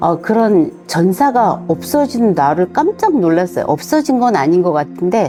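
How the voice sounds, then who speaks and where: With music in the background, a woman talks at a fairly slow pace, her pitch swinging very widely while her loudness stays very even. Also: medium pitch for a woman. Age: 60s. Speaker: community member. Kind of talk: interview answer.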